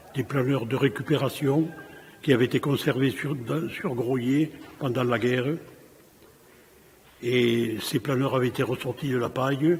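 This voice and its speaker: Over noticeable background noise, a man talks at medium pitch and a fairly slow pace. His intonation is fairly even, with long, frequent pauses. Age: 80s+. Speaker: former aircraft mechanic and pilot. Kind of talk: personal testimony.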